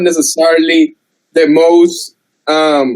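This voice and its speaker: This man speaks with a strong non-native accent and lively intonation. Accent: strong foreign. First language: not English. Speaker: debater. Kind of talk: heated debate. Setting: video call.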